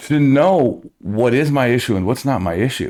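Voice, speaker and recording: Vocal fry marks this man's speech, delivered with an American accent. His pace is moderate. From New Jersey. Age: 60s. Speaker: musician. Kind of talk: casual chat.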